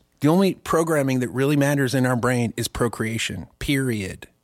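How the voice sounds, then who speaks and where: Speaking with a normal speaking voice, a man talks at a fairly quick pace in a fairly high pitch with lively intonation, on a very clean recording with a silent background. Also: hardly any pauses. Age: 50s. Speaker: podcast co-host. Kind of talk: casual chat.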